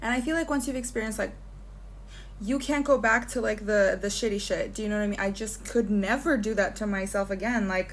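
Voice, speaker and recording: Somewhat breathy and fairly high-pitched, a woman with an American accent talks at a fairly quick pace and ordinary pitch variation. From United States, left at twelve. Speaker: vlogger. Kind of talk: casual monologue. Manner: chatty, many fillers.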